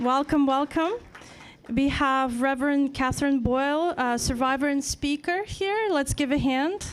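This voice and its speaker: A woman with a Ukrainian accent speaks at a high pitch and a fairly slow pace. Her loudness is very even and her pitch varies in an ordinary way. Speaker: event host and moderator. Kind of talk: panel moderation.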